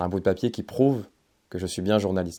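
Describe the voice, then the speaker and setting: A man's fairly low, dark, mellow voice with fairly even intonation, in a very clean recording with a silent background. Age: 20s. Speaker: aspiring journalist and YouTuber. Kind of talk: storytelling narration.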